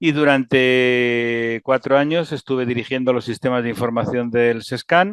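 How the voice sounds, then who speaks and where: A man with medium pitch and an ordinary speaking voice talks at a fairly slow pace with fairly even intonation and hardly any pauses. The sound is dry and close, with no echo. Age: 60s. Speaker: physician and health IT executive. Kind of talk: interview.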